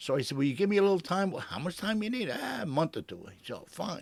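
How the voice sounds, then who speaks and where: With an American accent, a man talks at a very fast pace, his pitch swinging very widely and his voice showing vocal fry. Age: 80s+. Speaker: retired fire captain. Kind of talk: interview answer.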